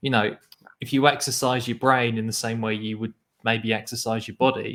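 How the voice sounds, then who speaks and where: In an English Midlands accent, a man speaks at a moderate pace in a flat monotone. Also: medium pitch for a man. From England (Nottingham). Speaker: poetry show co-host. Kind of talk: casual chat.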